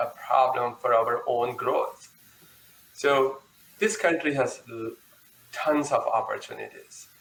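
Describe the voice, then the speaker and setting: Noticeable background noise sits behind a man who keeps a moderate pace. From India. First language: not English (fourth language). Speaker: panelist. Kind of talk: panel discussion.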